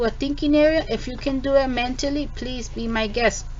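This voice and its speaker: A high-pitched woman's voice at a fairly quick pace, fairly even in intonation, with audible room echo and noticeable background noise. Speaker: math teacher. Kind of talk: tutorial. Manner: casual with many fillers.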